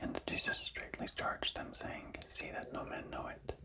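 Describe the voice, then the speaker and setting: The speaker whispers at a fairly slow pace in a soothing tone. Noticeable background noise is present. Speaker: ASMR scripture reader. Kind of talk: scripture reading for sleep. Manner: soft-spoken, soothing.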